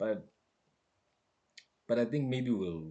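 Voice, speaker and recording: His pitch varies in an ordinary way. The man's tone is dark and mellow. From Lesotho. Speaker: live streamer. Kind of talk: casual chat. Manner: halting.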